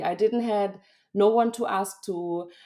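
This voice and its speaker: Speaking with a German accent, a woman has a dark, mellow tone and fairly even intonation. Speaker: freelance linguist and graphic designer. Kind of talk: podcast interview. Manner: hesitant, with fillers.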